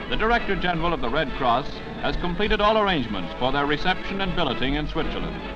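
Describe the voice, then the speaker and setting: A man talks in an upbeat tone with lively intonation while music plays in the background. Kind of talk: newsreel narration. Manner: brisk, upbeat.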